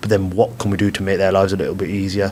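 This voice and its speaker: A man with a British accent speaks in a fairly low pitch. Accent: regional British accent he calls dodgy. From UK. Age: 20s. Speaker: blind footballer. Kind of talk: podcast interview. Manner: fluent, chatty with many fillers and repeats.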